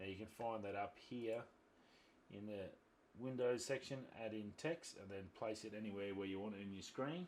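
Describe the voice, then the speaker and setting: Speaking with an Australian accent, a man uses a fairly low pitch and ordinary pitch variation, leaving long, frequent pauses. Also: moderate pace. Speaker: YouTube tutorial creator, photographer. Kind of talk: tutorial. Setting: screen recording at laptop. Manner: casual, informal.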